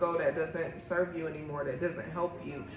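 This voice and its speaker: Against noticeable background noise and audible room echo, a woman speaks in a fairly low pitch. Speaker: podcast host and tarot reader. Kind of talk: spiritual reading monologue. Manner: casual.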